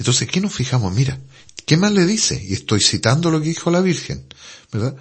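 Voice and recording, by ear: With big pitch swings, a man talks at a fairly quick pace in a fairly high pitch.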